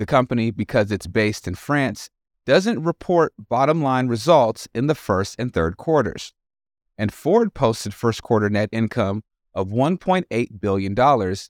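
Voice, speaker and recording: A man with an unremarkable speaking voice talks at a medium pitch and moderate pace, with lively intonation. The recording is very clean with a silent background, and the sound is dry and close with no echo. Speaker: news podcast co-host. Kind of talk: news reading.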